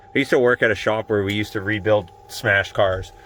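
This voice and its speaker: A man keeps a fairly quick pace. Noticeable background noise is present throughout. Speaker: DIY mechanic vlogger. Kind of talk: tutorial. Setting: outdoors in the cold. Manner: casual.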